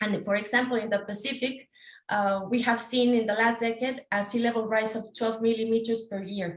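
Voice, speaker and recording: A woman with a fairly high pitch talks at a fairly quick pace in a flat, monotone way. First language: not English. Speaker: PhD researcher. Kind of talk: panel presentation. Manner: halting, many fillers.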